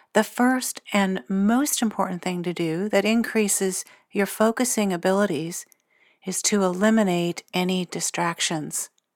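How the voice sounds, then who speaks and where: A woman's normal speaking voice at a medium pitch and fairly slow pace, with ordinary pitch variation and a dry, close sound with no echo. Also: very clean recording, silent background. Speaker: psychic medium and meditation guide. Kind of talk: guided meditation. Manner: slow, soothing, calm and gentle, with long pauses; hushed, hypnotic, unhurried cadence.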